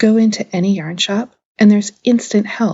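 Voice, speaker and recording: A woman speaks with an American accent. Her voice is somewhat breathy. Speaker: podcast host, crafter. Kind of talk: scripted podcast narration.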